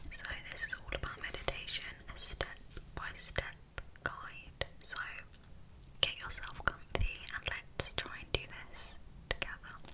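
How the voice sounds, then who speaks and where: Whispering at a fairly slow pace with long, frequent pauses, the speaker has a gentle tone over noticeable background noise. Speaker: ASMR creator. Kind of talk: ASMR personal attention and guided meditation. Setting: home recording, cozy roleplay. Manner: soft-spoken, gentle, calming.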